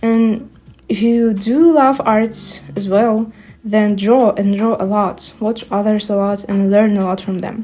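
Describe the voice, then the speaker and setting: A woman with a non-native accent speaks fairly slowly at a fairly high pitch, her intonation fairly even. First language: not English. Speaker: artist and art youtuber. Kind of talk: casual voiceover while drawing. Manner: hesitant, many fillers.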